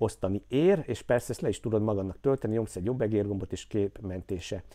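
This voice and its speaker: Lively intonation marks this man's medium-pitched, dark, mellow voice. The recording is very clean, with a silent background. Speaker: crypto YouTuber and community founder. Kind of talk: market analysis vlog.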